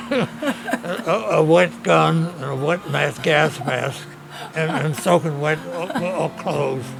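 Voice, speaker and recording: A man with an American accent talks at a very slow pace over noticeable background noise. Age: 80s+. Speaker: war veteran. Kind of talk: casual chat. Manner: halting.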